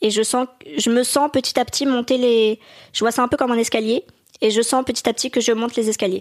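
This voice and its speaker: A woman talks with high pitch and fairly even intonation at very even loudness. The recording is very clean, with a silent background and a dry, close sound with no echo. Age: 20s. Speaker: actress. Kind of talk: casual interview.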